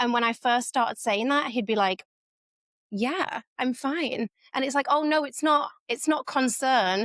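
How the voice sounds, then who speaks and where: With an American accent, a woman speaks at a fairly slow pace in a high pitch with ordinary pitch variation and very even loudness. The recording is very clean with a silent background and a dry, close sound with no echo. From northern England, Leeds, Yorkshire. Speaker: community founder. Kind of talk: podcast interview.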